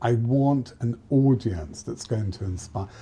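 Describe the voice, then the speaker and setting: A man speaks slowly with lively intonation at a medium pitch. His tone is dark and mellow, and somewhat breathy. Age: 60s. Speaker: fashion and interior designer. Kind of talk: interview conversation. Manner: halting, with frequent restarts.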